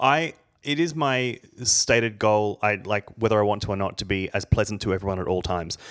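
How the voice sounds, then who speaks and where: A man speaks with an Australian accent. His voice sits fairly low. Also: lively intonation. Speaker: podcast co-host. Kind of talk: casual chat.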